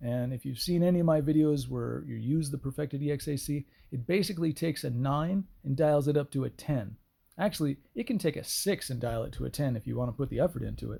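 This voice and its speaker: Somewhat breathy, a man speaks very fast at a fairly high pitch with ordinary pitch variation. The recording is very clean, with a silent background. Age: 50s. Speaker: boat detailing youtuber. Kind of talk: tutorial. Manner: casual, conversational.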